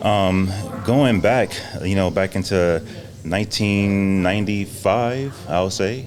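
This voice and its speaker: A man's fairly low voice, fairly even in intonation, with an American accent, at a very slow pace over noticeable background noise. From Louisiana, then southern California from age 13. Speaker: coffee shop business owner. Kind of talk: podcast interview, personal testimony. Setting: on-site at a coffee shop lounge. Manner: polite, relaxed.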